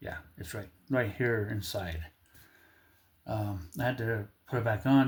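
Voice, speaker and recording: A man with a medium pitch and a somewhat breathy voice speaks with fairly even intonation on a very clean recording with a silent background. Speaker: DIY mechanic vlogger. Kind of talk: casual tutorial. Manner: slurred, halting speech from medical condition.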